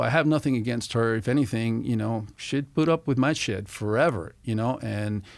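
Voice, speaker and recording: With a Spanish accent, a man talks at a fairly quick pace with ordinary pitch variation on a very clean recording with a silent background. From Venezuela (Caracas). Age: 60s. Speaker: former FBI agent. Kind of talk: casual chat. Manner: animated.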